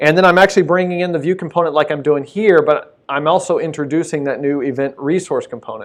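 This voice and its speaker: A high-pitched man races at a very fast pace with hardly any pauses and fairly even intonation, set against a quiet background. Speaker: software developer presenter. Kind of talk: live coding tutorial presentation.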